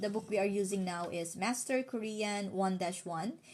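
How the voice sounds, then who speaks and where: A woman with a medium-pitched voice keeps to a moderate pace. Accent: Filipino. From Philippines. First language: Filipino. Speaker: language teacher. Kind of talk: live-stream tutorial. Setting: live stream.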